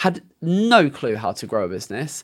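In a British accent, a man speaks in a very clean recording with a silent background. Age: 30s. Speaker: SEO agency owner. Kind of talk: interview.

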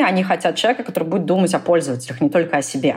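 This woman's voice sits fairly low in pitch and carries lively intonation. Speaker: product manager, mentor. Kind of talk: mentoring interview chat.

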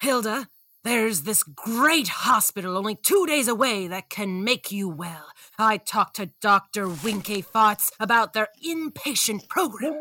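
A woman talks at a moderate speed. The recording sounds dry and close, without echo. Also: fairly high pitch for a woman. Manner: condescending, dismissive.

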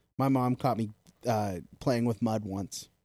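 Here a man speaks in an animated tone. His pitch is fairly low, with ordinary variation. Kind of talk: casual banter, then dramatic story reading. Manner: animated, profane, laughing.

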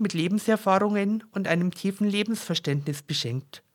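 A woman with a strong Bavarian accent, lively intonation, and a moderate pace. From Upper Bavaria, Germany. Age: 50s. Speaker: podcast host and personal development coach. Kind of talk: personal monologue. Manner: irregular pauses.

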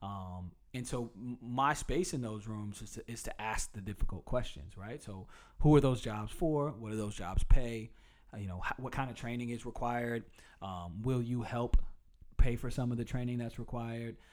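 A man with an American accent has a plain, everyday voice at medium pitch, speaking at a moderate pace with ordinary pitch variation and big swings in loudness. The recording is very clean, with a silent background. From US South, Durham, North Carolina. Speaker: city council candidate and hip-hop artist. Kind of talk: casual interview.

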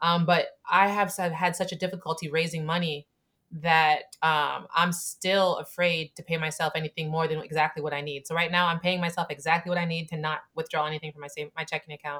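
A woman with an American accent speaks at a fairly quick pace with hardly any pauses, her fairly low voice bright and sharp in tone but monotone and flat in intonation. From Camden, New Jersey. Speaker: Navy veteran and chocolate company founder. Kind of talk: interview conversation.

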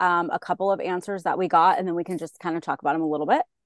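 This woman has a medium pitch. Her tone is animated. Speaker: podcast host, book club leader. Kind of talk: casual book discussion. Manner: loud.

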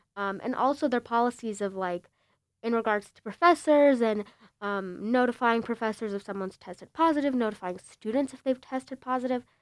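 In an ordinary speaking voice with a fairly high pitch and ordinary pitch variation, a woman speaks with big swings in loudness, the sound dry and close with no echo. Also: fairly quick pace. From Chicago suburbs, Illinois. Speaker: student reporter. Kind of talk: casual chat.

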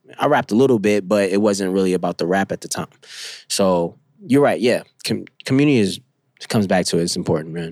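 A man with a New York accent, fairly low-pitched and fairly quick, on a very clean recording with a silent background. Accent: New York (Bronx). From New York City, the Bronx. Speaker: rapper and multimedia artist. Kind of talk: casual interview. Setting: studio. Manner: halting, many fillers.

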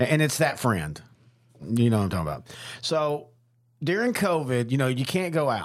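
A man with a Texan accent, medium pitch and very wide pitch swings, at a moderate pace with long, frequent pauses. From Texas, small town. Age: 40s. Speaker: podcast host. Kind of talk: casual chat.

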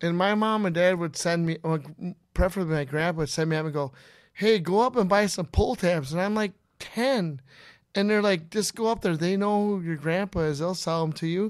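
A man talks in an Upper Midwest accent at a high pitch and fairly quick pace. His pitch varies in an ordinary way, in a very clean recording with a silent background. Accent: Upper Midwest (Minnesota). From Minnesota, Inver Grove Heights. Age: 50s. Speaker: pull tab player. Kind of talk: casual chat. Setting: studio.

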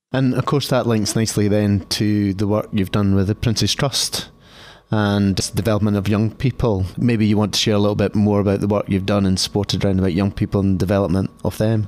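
In an ordinary speaking voice, a man moves at a fairly quick pace. His fairly low pitch carries a fairly even intonation. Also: very even loudness. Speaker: podcast interviewer. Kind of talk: interview.

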